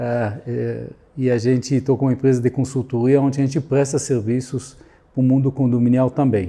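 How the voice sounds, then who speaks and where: A man talks at a moderate pace with a medium pitch and flat, monotone intonation. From Israel. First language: Hebrew (speaking Portuguese). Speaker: security consultant. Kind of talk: interview. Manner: halting.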